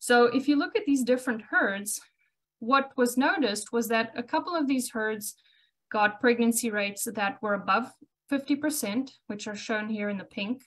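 A high-pitched woman with a South African accent, at a moderate pace, with ordinary pitch variation and a quiet background. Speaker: cattle reproduction specialist. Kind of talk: educational webinar presentation. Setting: video call.

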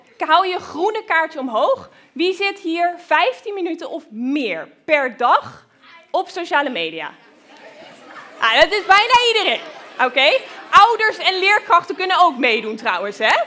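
A raised, projected, animated voice at a fairly slow pace with very wide pitch swings, crowd noise in the background. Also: woman, extremely high pitch for a woman. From Groningen, northern Netherlands. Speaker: researcher. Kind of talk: lecture for children. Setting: lecture hall with audience. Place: hall. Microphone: headset.

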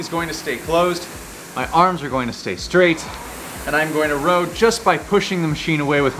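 Light background noise sits under a man's voice. He speaks at a high pitch and a moderate pace. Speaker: rowing coach. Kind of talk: workout instruction. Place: gym. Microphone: lapel.

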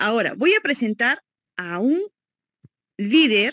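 A woman speaks at a fairly slow pace in a high pitch. The sound is dry with no echo against a quiet background. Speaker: event host. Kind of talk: event presentation. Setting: video call.

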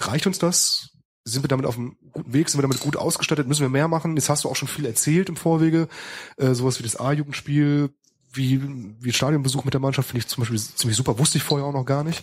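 Very fast and somewhat breathy, a man speaks at a fairly high pitch with fairly even intonation. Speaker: podcast co-host. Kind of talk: casual chat.

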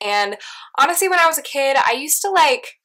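A woman's bright, sharp, animated voice with very wide pitch swings at a fairly quick pace, over a quiet background. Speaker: YouTuber. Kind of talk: casual vlog Q&A. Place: home room. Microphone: distorted audio; phone near.

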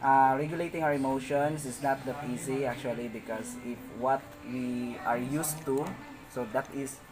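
A man talks rather slowly with fairly even intonation while background noise is clearly audible. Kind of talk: testimonial interview answer. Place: street. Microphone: phone near.

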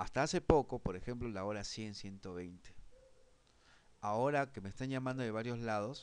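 Speaking at a fairly slow pace, a man's voice sits at a medium pitch. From Peru. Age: 40s. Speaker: online course instructor; presenter. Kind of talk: online class lecture; lecture. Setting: live online broadcast. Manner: halting, frequent repetitions and fillers. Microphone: webcam.

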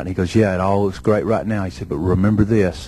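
A man's fairly low, somewhat breathy voice with a dark, mellow tone, a Southern US accent, a very fast pace, and a dry sound with no echo. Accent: Southern American. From Southern United States. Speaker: professional wrestler. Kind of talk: wrestling promo. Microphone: handheld.

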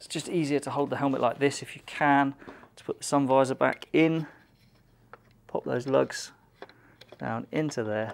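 Pausing long and often, a man talks at a moderate pace with fairly even intonation. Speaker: presenter. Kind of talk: tutorial. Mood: relaxed, friendly. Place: studio.

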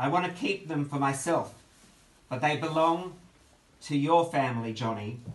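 A man speaks at a moderate pace with ordinary pitch variation. Audible room echo surrounds his voice. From Melbourne, Australia. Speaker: author, giving a eulogy for his brother. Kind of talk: eulogy delivered at a memorial gathering. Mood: tender, grieving, nostalgic. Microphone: phone near.

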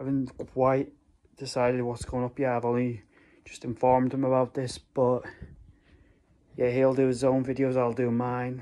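A man speaks at a moderate pace with a dark, mellow tone and flat, monotone intonation. Long, frequent pauses break up his speech against a quiet background. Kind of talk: casual vlog chat. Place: home room. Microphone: phone near.

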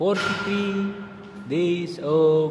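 A man speaks with music in the background. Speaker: fitness vlogger. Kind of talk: casual vlog chat. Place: gym. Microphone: phone near.

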